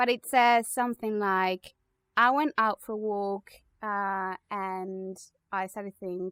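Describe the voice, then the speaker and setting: The speaker, with a Spanish accent, talks at a very slow pace with fairly even intonation, in a dry, close sound with no echo on a very clean recording with a silent background. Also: woman, medium pitch for a woman. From Spain. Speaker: podcast co-host. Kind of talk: casual chat.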